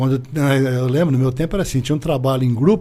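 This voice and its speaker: A plain, everyday voice from a man, fairly high in pitch and at a fairly quick pace. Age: 60s. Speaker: business owner. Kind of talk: interview.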